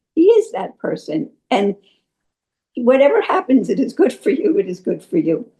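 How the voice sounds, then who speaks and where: With an American accent, a woman speaks at a moderate pace in a high pitch and a dark, mellow tone, her pitch swinging very widely. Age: 80s+. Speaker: spiritual devotee sharing experiences. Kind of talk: testimony. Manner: halting.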